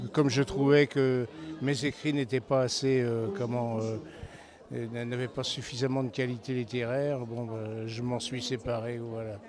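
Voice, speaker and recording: Fairly slow, monotone speech from a man, flat in intonation. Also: medium pitch for a man. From southwest France. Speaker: novelist. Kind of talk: interview.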